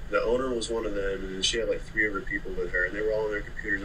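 A man with an American accent talks at a very fast pace. Light background noise is present. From Oklahoma City. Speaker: moving company owner, former Marine. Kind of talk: casual interview chat. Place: home room. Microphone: video call.

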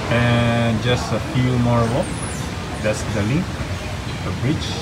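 A man's fairly slow speech over loud background noise. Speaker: traveler vlogger. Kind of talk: casual vlog chat. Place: station. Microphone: phone near.

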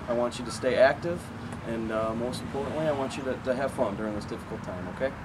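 A man speaks at a fairly quick pace with ordinary pitch variation. Noticeable background noise runs underneath. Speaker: school coach. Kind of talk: encouraging message to students. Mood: warm, encouraging. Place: street. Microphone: camera far.

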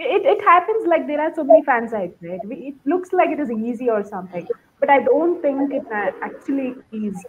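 Over light background noise, a woman with a high pitch talks with very wide pitch swings and big swings in loudness. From India, Bangalore; India. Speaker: podcast listener. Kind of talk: casual chat. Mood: enthusiastic, friendly. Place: home room. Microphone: video call.

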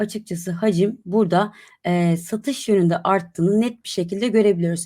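On a very clean recording with a silent background, a woman with a dark, mellow tone and medium pitch speaks at a moderate pace. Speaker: crypto market analyst presenter. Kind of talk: market news and analysis presentation.

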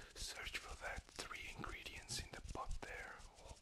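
The man speaks at a moderate pace. He is whispering. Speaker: gamer. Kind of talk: ASMR gaming commentary. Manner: whispered, soft-spoken.

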